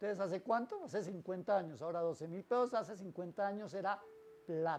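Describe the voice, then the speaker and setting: A man's high-pitched voice at a fairly quick pace. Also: ordinary pitch variation. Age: 60s. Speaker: pastor. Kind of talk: sermon.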